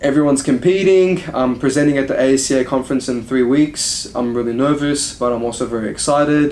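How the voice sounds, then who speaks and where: A man with an Australian accent speaks at a fairly high pitch and fairly quick pace, with hardly any pauses. His intonation stays fairly even over noticeable background noise. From Australia, moved from Iraq at age five. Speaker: strength and conditioning coach. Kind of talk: casual chat.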